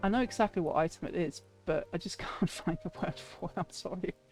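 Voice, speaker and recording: With music in the background, a woman speaks with a slight British accent. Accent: sounds a little British. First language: not English. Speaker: streamer. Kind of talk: live stream commentary on house tour. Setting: live stream. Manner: halting, searching for words.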